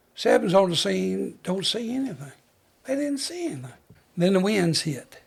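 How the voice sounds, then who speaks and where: A high-pitched man with a Southern US accent. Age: 80s+. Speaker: retired fire chief. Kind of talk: interview storytelling. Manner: halting.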